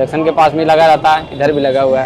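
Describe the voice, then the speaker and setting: At a fairly quick pace, a man speaks with noticeable background noise around him. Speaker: travel vlogger. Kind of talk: casual vlog chat. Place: train. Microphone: phone near.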